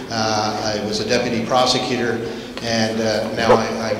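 A man is recorded with audible room echo. Background noise is noticeable. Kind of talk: public talk to students. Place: hall. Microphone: handheld.

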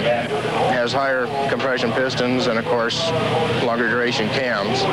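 The speaker is a man. Loud background noise fills a dry sound with no echo. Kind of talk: interview answer. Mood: calm, matter-of-fact.

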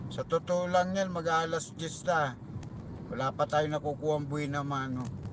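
A man's normal speaking voice, fairly high in pitch, with fairly even intonation. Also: moderate pace. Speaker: taxi driver vlogger. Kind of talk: casual vlog narration. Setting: in a car.

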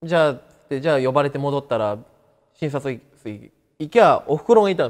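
Against a quiet background, a man talks fairly quickly at a fairly high pitch. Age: 30s. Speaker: cancer survivor. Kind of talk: interview testimony. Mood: calm, matter-of-fact about illness. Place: classroom. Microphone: lapel.

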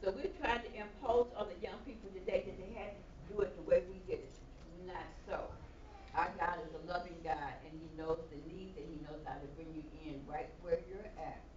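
A woman with an American accent speaks at a moderate pace with ordinary pitch variation. Audible room echo and light background noise accompany her. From Chicago. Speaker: evangelist. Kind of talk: sermon. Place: church. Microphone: camera far.

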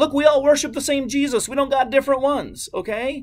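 Extremely high-pitched for a man, this voice has a slightly mellow tone, ordinary pitch variation and a fairly quick pace.

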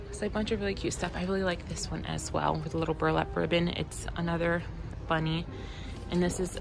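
Over clear background music, a woman speaks at a very fast pace. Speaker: vlogger. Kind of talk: casual vlog chat. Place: shop. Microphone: phone near.

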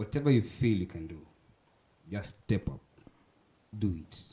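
A man's somewhat breathy voice has a dark, mellow tone and fairly low pitch, and he speaks at a moderate pace. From Kenya. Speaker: spoken word artist and student; guest. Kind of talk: casual chat. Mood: encouraging. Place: studio. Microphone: handheld.

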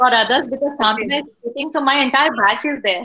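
A woman with a high voice and a bright, sharp tone speaks in a raised, projected voice over light background noise. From India. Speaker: college faculty member; webinar host. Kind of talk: casual chat. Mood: warm, cheerful. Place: home room. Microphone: video call.

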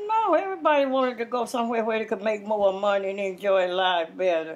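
Lively intonation marks this woman's speech, delivered with an American accent. Her pace is very fast. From Louisiana. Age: 80s+. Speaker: interviewee. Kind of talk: interview answer. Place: home room.

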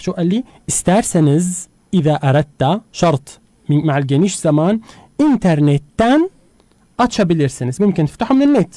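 A man's high-pitched voice with a dark, mellow tone, very wide pitch swings and a moderate pace, in a dry, close sound with no echo. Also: very even loudness. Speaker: radio host teaching Turkish. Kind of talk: language lesson. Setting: radio studio.

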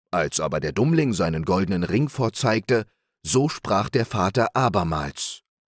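On a very clean recording with a silent background and a dry, close sound with no echo, a man speaks at a fairly slow pace in a fairly low pitch with very wide pitch swings. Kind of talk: bedtime story reading aloud. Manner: slow, calm, soothing.

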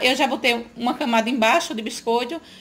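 A woman's high-pitched voice at a moderate pace with fairly even intonation. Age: 40s. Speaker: home cook, cooking channel host. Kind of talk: cooking tutorial talk to camera. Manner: warm, chatty. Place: kitchen. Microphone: phone near.

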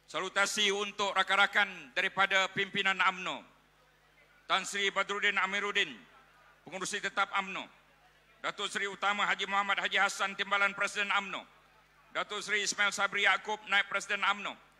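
A man's raised, projected voice, high pitch, bright, sharp tone, monotone, flat intonation, moderate pace and long, frequent pauses. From Malaysia. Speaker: rally emcee and politician; rally emcee, politician. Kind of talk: rally emceeing. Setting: stage with audience. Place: hall. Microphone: podium.

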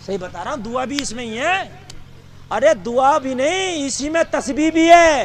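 A man with an extremely high voice speaks in an animated tone, with big swings in loudness. There's light background noise and a dry sound with no echo. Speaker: Islamic preacher. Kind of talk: humorous religious sermon. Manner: animated, comedic, conversational. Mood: joking, playful. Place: stage. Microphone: handheld.

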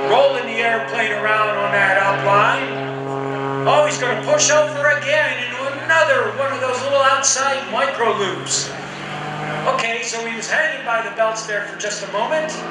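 A man talks at a moderate pace. Loud background noise and audible room echo surround him. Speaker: airshow announcer. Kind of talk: live commentary. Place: open country.

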